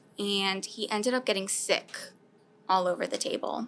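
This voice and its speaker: With a normal speaking voice, a woman talks at a moderate pace, her medium pitch showing ordinary variation. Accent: American. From US South. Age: 20s. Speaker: food recovery program coordinator. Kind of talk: interview.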